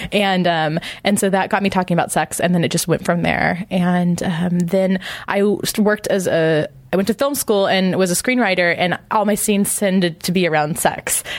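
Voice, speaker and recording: A woman's medium-pitched, normal speaking voice at a moderate pace, with fairly even intonation and very even loudness. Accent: American. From US West, Imperial County, California. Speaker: sex educator and writer. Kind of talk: interview conversation. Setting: at a conference.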